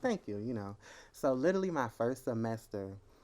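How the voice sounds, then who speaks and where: A soft-spoken man talks at a moderate pace. His pitch sits in the medium range. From Norfolk, Virginia. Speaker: rapper and musician. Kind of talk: casual interview.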